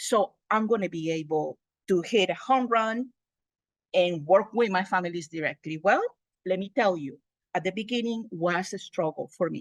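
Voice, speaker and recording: A woman's medium-pitched voice in a Spanish accent, lively in intonation, at a moderate pace, with a dry, close sound and no echo. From Honduras. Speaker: multicultural family outreach specialist. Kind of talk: presentation at an online meeting.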